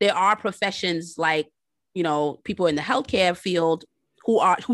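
A woman with an American accent and an unremarkable speaking voice talks at a moderate pace and a fairly low pitch with lively intonation, the sound dry and close with no echo against a quiet background. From New York City. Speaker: high school English teacher and author. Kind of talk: casual chat.

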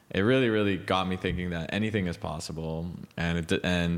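A man with a Montreal accent speaks in a very deep, low voice at a moderate pace. His pitch varies in an ordinary way, and the recording is very clean with a silent background. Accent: Montreal English, Canadian. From Montreal, Quebec, Canada. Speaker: tech startup founder. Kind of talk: interview. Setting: at his home.

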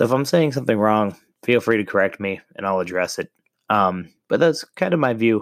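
A man with an American accent speaks at a medium pitch and a fairly quick pace, his intonation lively. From Ohio. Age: 30s. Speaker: podcast host. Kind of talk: casual monologue. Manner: hesitant, many filler words.

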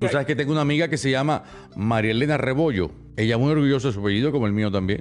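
Music plays in the background as a man talks at a very fast pace. His medium-pitched voice has lively intonation. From Cuba. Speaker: podcaster and stage performer. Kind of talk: casual chat. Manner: animated.

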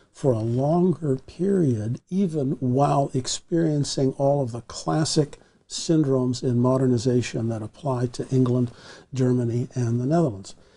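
A man speaks at a medium pitch with a dark, mellow tone. His voice is somewhat breathy. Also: ordinary pitch variation, moderate pace. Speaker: historian. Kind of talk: long-form interview.

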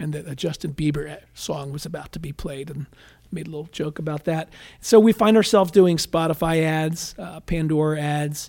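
Using a normal speaking voice with an American accent, a man talks at a moderate pace and fairly high pitch, with fairly even intonation and big swings in loudness. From Philadelphia area, Pennsylvania. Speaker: political consultant. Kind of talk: interview.

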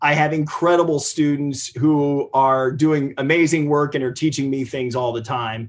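A man with an American accent talks at a moderate pace with hardly any pauses, in a normal speaking voice. His pitch is fairly high and his intonation fairly even. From US Midwest, Ohio. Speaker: marine biologist and professor. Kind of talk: interview. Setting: video call.

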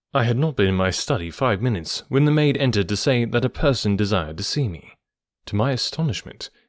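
Lively intonation in a natural reading voice, quiet background behind it

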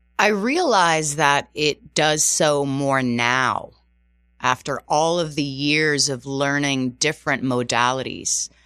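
A woman with a bright, sharp tone speaks at a very slow pace in a very deep, low pitch, with ordinary pitch variation, on a very clean recording against a silent background. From Canada, outside Toronto, Azorean Portuguese family. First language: Portuguese. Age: 40s. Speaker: fitness and Pilates instructor. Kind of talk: interview. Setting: radio studio.

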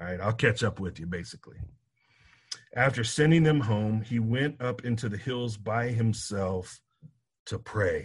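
A man with a medium-pitched, somewhat breathy voice talks at a moderate pace with ordinary pitch variation and long, frequent pauses. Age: 40s. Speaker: college football player development director. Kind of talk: bible study teaching.

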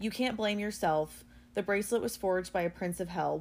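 Reading aloud plainly, with pitch moving in an ordinary way

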